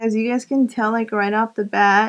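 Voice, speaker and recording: Her intonation stays monotone and flat. The speaker is a woman. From Arizona, USA. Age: 20s. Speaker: beauty YouTuber. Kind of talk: makeup tutorial talk to camera.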